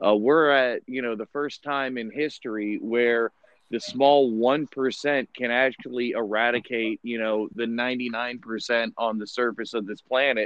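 A man's ordinary speaking voice at medium pitch, fairly slow in pace with hardly any pauses and fairly even intonation. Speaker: podcast host. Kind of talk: casual chat. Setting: video call.

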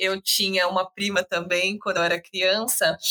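A woman's medium-pitched voice has a bright, sharp tone and ordinary pitch variation. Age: 20s. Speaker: podcast guest, young mother. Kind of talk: casual chat.

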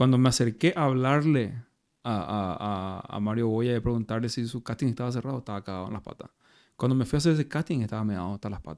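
The speech comes at a very fast pace with ordinary pitch variation. Loudness swings widely. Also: man, medium pitch for a man. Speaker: actor and metal musician. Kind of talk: casual chat.

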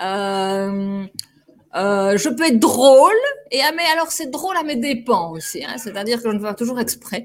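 A woman speaks at a fairly slow pace in a fairly high pitch. Her pitch swings very widely. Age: 40s. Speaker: actress and stage director. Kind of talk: interview. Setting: studio.

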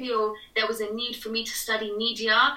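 The speaker has a British accent and talks at a moderate pace. Background noise is noticeable. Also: woman. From England. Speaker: TV presenter. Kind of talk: casual interview chat.

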